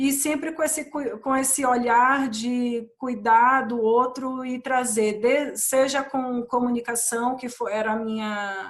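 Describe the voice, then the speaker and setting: A high-pitched woman's voice with a Bahian accent. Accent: Bahian accent, kept. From Brazil, Bahia (Ilhéus). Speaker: corporate training and diversity professional. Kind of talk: panel discussion. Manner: hesitant, many restarts.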